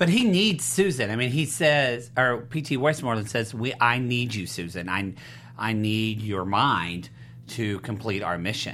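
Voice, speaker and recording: Lively intonation and a bright, sharp tone mark this man's medium-pitched voice at a fairly slow pace. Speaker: TV after-show host. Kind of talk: casual chat. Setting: studio. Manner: animated.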